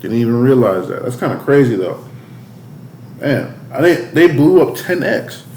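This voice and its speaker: Speaking at a moderate pace with lively intonation and long, frequent pauses, a man with a fairly high pitch is heard over noticeable background noise and audible room echo. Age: 20s. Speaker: youtube reaction host. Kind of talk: reaction commentary. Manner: casual.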